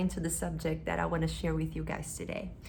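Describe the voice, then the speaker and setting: A woman with a non-native accent is heard with audible room echo. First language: not English. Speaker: hypnosis practitioner and spiritual vlogger. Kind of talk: casual explanatory talk to camera.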